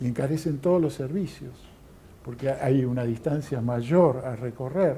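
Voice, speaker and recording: A man speaks at medium pitch and a fairly slow pace, his tone dark, mellow and somewhat breathy. Room echo can be heard. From Argentina. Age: 60s. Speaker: lecturer. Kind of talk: lecture. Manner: halting, many fillers.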